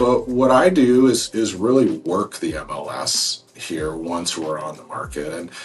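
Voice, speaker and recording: A man with an American accent speaks at a fairly slow pace, his loudness swinging widely over noticeable background noise. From Seattle area, Washington (Snohomish County). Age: 40s. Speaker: real estate agent. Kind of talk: informal promotional explainer to camera. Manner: casual, many fillers and repetitions.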